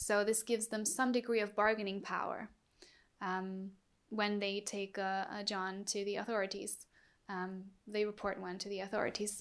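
A woman with a German accent, medium in pitch, flat and monotone at a moderate pace. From Germany. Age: 20s. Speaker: activist. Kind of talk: interview.

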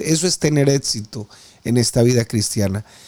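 With lively intonation and a dark, mellow tone, a man speaks on a very clean recording with a silent background. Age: 50s. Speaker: preacher. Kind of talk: sermon.

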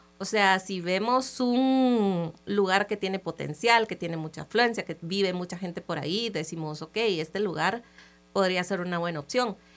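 A woman talks at a medium pitch with ordinary variation. Music can be heard behind her. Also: moderate pace. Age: 30s. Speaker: entrepreneur. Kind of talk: interview. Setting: radio studio.

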